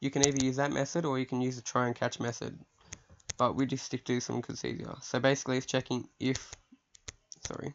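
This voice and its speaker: The speech runs at a very fast pace, broken by long, frequent pauses. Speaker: programming tutorial maker. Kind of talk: screen-recorded coding tutorial. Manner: casual; halting, many fillers.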